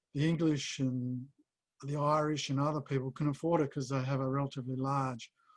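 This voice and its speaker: In an Australian accent, a man speaks at a fairly high pitch and a fairly quick pace. His intonation is monotone and flat. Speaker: publisher and editor. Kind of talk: Q&A interview. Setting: video call. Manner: halting.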